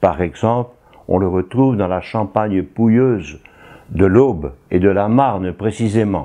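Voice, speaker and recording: Against a quiet background, a voice with a dark, mellow tone moves at a very slow pace. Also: man. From northern France, Tourcoing (Nord). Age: 80s+. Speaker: retired priest. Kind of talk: interview testimony.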